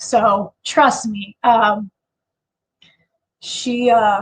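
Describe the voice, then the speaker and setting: A woman with a high pitch and an American accent. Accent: Chicago accent, per others. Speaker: livestream host, online seller. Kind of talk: casual livestream chat. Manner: hesitant, many fillers.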